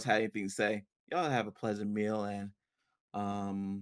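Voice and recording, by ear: A man speaks with a fairly low pitch. His tone is clear and smooth.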